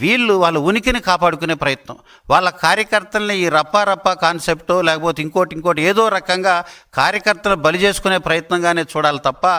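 Over a silent background in a very clean recording, a man speaks at a high pitch with a bright, sharp tone and ordinary pitch variation. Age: 70s. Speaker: politician. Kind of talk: press conference statement. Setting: media briefing.

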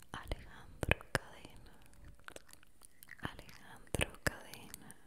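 Soft-spoken and whispering, a woman speaks at a very slow pace. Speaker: ASMR creator. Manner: soft whisper of a full name. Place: home room. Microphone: studio mic.

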